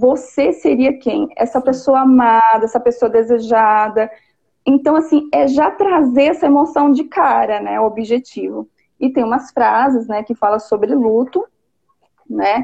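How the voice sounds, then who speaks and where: A woman talks at a fairly slow pace in a high pitch with a dark, mellow tone. Her pitch varies in an ordinary way. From interior of São Paulo state, Brazil. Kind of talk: casual live interview. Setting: online live video call.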